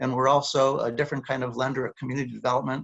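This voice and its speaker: A man's voice at medium pitch. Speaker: community lender representative. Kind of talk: panel discussion. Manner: fast.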